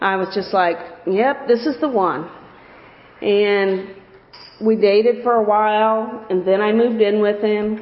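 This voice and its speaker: Over noticeable background noise, a woman with an American accent and a fairly high voice speaks at a fairly slow pace with fairly even intonation and long, frequent pauses. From US Midwest, Alton area (Illinois). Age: 50s. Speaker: church member giving testimony. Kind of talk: testimony.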